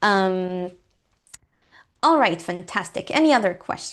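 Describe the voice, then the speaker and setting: The speaker, with a non-native accent, talks at a fairly slow pace. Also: woman. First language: not English. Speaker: guest lecturer on coding. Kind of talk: lecture. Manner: hesitant, many fillers.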